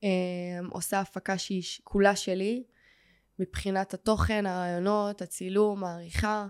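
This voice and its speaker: A woman with an unremarkable speaking voice talks at a medium pitch and a fairly slow pace, her intonation fairly even, in a very clean recording with a silent background. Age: 20s. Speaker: model and entrepreneur. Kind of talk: interview.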